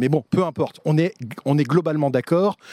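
A man's voice with a dark, mellow tone. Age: 50s. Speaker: TV producer. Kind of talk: casual chat. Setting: outdoors.

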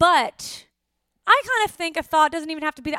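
A raised, projected voice with an American accent, fairly quick in pace, with lively intonation, a bright, sharp tone and a dry, close sound with no echo. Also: woman. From US West, Los Angeles. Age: 30s. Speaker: podcast host. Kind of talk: casual chat.

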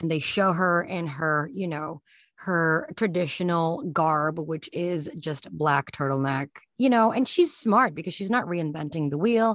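Against a quiet background, a woman with fairly low pitch speaks with lively intonation. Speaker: astrology podcaster. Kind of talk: casual chat. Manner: animated; halting.

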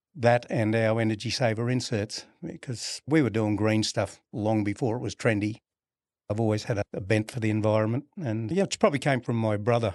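Someone with an Australian accent speaks at a moderate pace with fairly even intonation. The sound is dry and close with no echo, over a quiet background. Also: man. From Brisbane, Australia. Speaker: refrigeration company founder. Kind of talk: casual interview.

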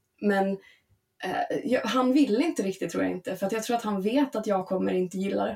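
A woman with vocal fry speaks at a fairly quick pace, her intonation lively. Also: medium pitch for a woman. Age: 30s. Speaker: podcast guest. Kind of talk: casual chat.

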